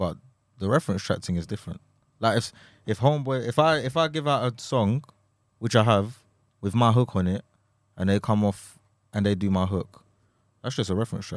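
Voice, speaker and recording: In a London accent, a man with a fairly low pitch and ordinary pitch variation talks at a fairly quick pace. He takes long, frequent pauses, and the recording is very clean with a silent background. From Essex, England. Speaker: rapper. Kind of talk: casual chat.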